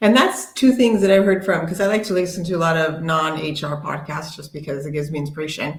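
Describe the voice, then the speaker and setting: With big swings in loudness and ordinary pitch variation, a woman with a fairly low voice talks at a very fast pace amid audible room echo. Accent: American. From United States. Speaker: HR tech panelist. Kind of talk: casual panel discussion.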